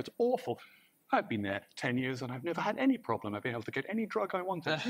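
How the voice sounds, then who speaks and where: Racing along at a very fast pace, the man's voice makes very wide pitch swings. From Northern Ireland. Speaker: guest. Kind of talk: chat show anecdotes.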